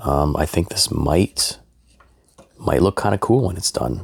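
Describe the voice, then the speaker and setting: Speaking at a fairly slow pace, a man uses a very deep, low pitch with vocal fry. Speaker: woodworking YouTuber. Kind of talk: casual workshop update vlog. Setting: home garage. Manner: hesitant, many fillers.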